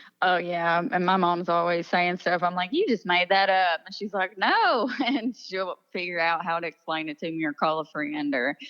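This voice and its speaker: Speaking with an Appalachian accent and hardly any pauses, a woman has a fairly low pitch and ordinary pitch variation. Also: moderate pace. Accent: Appalachian Southern US. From eastern Kentucky. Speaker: country singer-songwriter. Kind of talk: interview. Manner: casual, animated.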